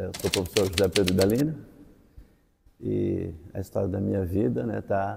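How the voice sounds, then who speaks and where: This man's pitch sits fairly low, and his tone is dark and mellow. He talks at a fairly slow pace and sounds somewhat breathy. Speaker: teacher, former seminarian. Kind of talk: interview testimony.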